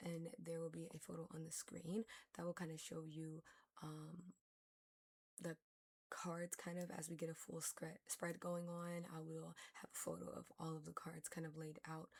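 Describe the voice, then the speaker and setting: Somewhat breathy and monotone with flat intonation, the voice moves at a moderate pace. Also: woman. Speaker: tarot reader. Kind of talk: tarot reading. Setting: home recording, sitting on the floor. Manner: stuttering; casual, rambling with fillers.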